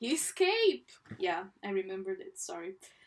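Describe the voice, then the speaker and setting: A woman speaks with a non-native accent. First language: not English. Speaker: artist. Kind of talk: casual chat. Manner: halting.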